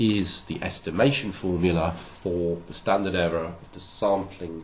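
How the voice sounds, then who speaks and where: A man's very deep, low voice with vocal fry, ordinary pitch variation and a moderate pace. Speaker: university lecturer. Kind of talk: recorded lecture narration.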